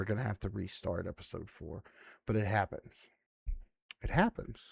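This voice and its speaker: A man with a fairly low pitch and a somewhat breathy voice speaks at a moderate pace with fairly even intonation, the sound dry and close with no echo. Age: 20s. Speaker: gaming YouTuber. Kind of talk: casual gameplay commentary. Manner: relaxed, frequent filler words.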